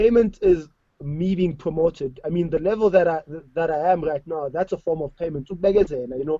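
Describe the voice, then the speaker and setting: At a fairly quick pace, a man with a South African accent talks in a high pitch with ordinary pitch variation. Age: 20s. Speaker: DJ. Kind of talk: online panel discussion. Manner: animated.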